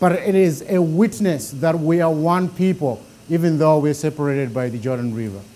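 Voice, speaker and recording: With a Zimbabwean accent, a man speaks at a moderate pace with lively intonation. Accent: deep Zimbabwean. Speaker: bible teacher. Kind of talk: lecture.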